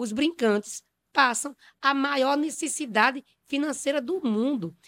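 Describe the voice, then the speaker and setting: A woman with lively intonation, on a very clean recording with a silent background and a dry, close sound with no echo. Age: 50s. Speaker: city councillor and poet. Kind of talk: panel discussion interview.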